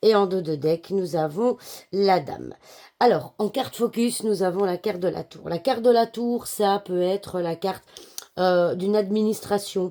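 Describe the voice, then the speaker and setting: With a dark, mellow tone, the speech moves at a fairly slow pace with ordinary pitch variation. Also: woman, medium pitch for a woman. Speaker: card reader / fortune teller. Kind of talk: daily card reading. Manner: hesitant, many filler sounds.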